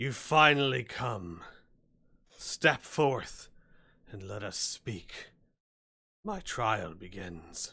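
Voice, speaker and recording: A man puts on a raspy, booming character voice at medium pitch, with lively intonation and big swings in loudness. He talks at a very slow pace with long, frequent pauses, and the recording is very clean with a silent background. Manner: imposing, commanding.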